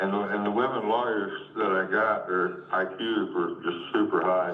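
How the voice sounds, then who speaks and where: A man talks at a moderate pace with very even loudness. Noticeable background noise and audible room echo surround his voice. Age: 60s. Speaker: home seller. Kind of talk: casual chat.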